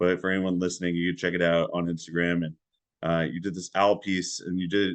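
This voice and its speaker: Against a quiet background, a man with a very deep, low voice talks in a flat monotone, leaving long, frequent pauses. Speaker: podcast host. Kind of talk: podcast interview. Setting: remote call. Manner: slow.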